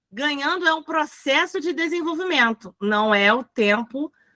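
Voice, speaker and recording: A woman speaks very slowly in a bright, sharp tone with very wide pitch swings. The sound is dry and close, with no echo. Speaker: teacher. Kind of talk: lecture.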